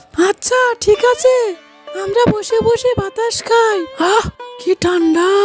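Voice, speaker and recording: In a cartoonish character voice, a woman speaks at a fairly slow pace and an extremely high pitch while clear music plays in the background. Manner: gentle, coaxing.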